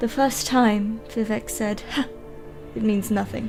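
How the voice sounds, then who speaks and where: A woman's fairly high voice with fairly even intonation over music in the background. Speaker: gamer and streamer. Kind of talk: dramatic reading of game lore.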